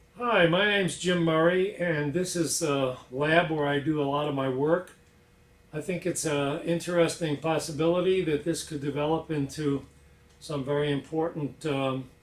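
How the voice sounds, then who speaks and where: A man with a fairly high pitch talks at a moderate pace with fairly even intonation, and the room echo is audible. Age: 60s. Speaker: inventor. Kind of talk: presentation. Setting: lab. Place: workshop. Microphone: camera far.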